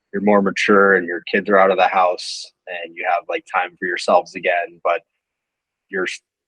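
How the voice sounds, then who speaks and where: A moderate pace in an American accent, with dry, close sound and no echo. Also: man. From US, Southern California (Orange County). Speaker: podcast guest, friend of host. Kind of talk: casual chat.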